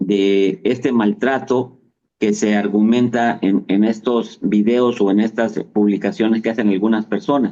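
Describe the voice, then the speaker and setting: A man speaks in a dark, mellow tone at a medium pitch. His pitch varies in an ordinary way, and his pace is fairly slow. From Mexico. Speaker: travel agency executive. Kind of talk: interview answer.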